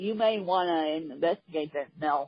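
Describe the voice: She speaks at a moderate pace with ordinary pitch variation. Her voice sits low in pitch for a woman.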